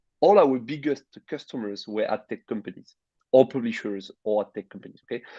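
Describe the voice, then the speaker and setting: A man with a French accent speaks fairly quickly in a dark, mellow tone, with lively intonation and big swings in loudness. The sound is dry and close with no echo. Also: medium pitch for a man. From France. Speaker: tech company CEO and co-founder. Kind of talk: interview. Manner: hesitant, many fillers.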